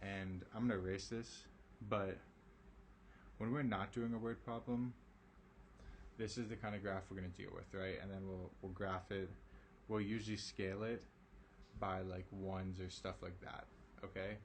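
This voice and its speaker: Somewhat breathy speech at a moderate pace, broken by long, frequent pauses. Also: man. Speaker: math teacher. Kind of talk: online lesson. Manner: casual, with many fillers.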